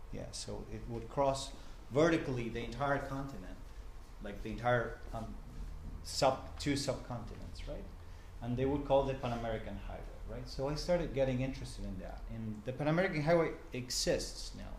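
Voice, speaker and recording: Recorded with audible room echo, a man speaks at a moderate pace with big swings in loudness. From Argentina, Buenos Aires. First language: Spanish. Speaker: journalist and professor. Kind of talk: talk to a small group. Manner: halting, many fillers.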